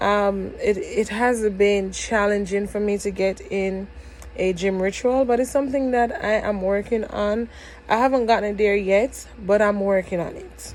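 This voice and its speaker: Moderate-paced speech from a woman with a Jamaican accent, medium in pitch with fairly even intonation, over noticeable background noise. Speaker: vlogger. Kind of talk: casual vlog. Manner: code-switching between dialect and standard English; hesitant, many fillers.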